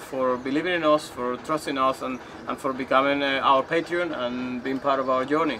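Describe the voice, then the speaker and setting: A man speaks over noticeable background noise. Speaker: sailing vlogger. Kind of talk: casual vlog chat. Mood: warm, cheerful. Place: boat. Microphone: camera far.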